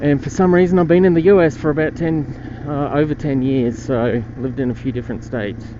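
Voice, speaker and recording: With hardly any pauses, a man talks at a fairly quick pace in a fairly high voice with ordinary pitch variation, over noticeable background noise. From Australia. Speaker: motorcycle vlogger. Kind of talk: casual vlog narration while riding. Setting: outdoors riding a motorbike on streets.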